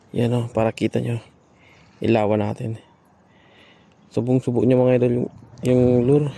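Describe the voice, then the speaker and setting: A man's medium-pitched, dark, mellow voice at a moderate pace, monotone and flat, with long, frequent pauses. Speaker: fishing vlogger. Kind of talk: live fishing commentary. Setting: outdoors. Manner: low energy voice.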